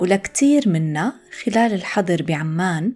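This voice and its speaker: A woman speaks at a very slow pace with a Jordanian accent, her pitch fairly low. Music plays in the background. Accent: Levantine Arabic (Jordanian). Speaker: Arabic teacher, podcast host. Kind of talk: scripted language-lesson reading.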